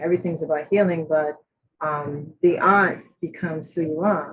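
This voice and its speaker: A woman's fairly low, somewhat breathy voice at a moderate pace, with ordinary pitch variation. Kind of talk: artist presentation.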